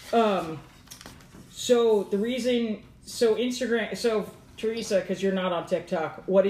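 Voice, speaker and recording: A woman with an ordinary speaking voice at a moderate pace. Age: 30s. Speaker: podcast host, comic artist. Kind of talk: casual chat.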